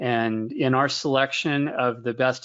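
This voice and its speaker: Using an ordinary speaking voice, a man keeps a medium pitch and fairly even intonation. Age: 50s. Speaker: investment research director. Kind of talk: webinar Q&A answer. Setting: online webinar.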